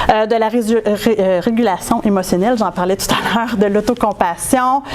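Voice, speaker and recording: Through noticeable background noise, a woman with a fairly high voice speaks at a moderate pace with ordinary pitch variation. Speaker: researcher. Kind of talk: conference talk. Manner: hesitant, many fillers.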